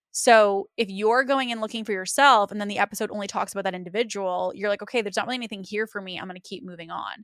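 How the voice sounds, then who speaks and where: The delivery is very fast and animated, with ordinary pitch variation. The recording is very clean and dry, close with no echo, over a silent background. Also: woman. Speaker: podcast host. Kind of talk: interview podcast conversation.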